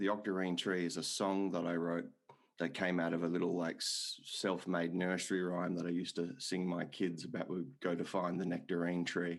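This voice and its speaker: A man with an Australian accent speaks in a very deep, low voice at a moderate pace. The recording is very clean, with a silent background. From Australia, Perth. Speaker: podcast host. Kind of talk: casual chat.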